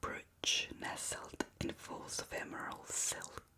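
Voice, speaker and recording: Whispering can be heard over noticeable background noise. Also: woman. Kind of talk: bedtime book reading. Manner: slow, soft-spoken.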